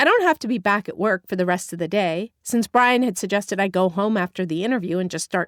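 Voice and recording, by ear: The background is quiet. A natural voice reads aloud.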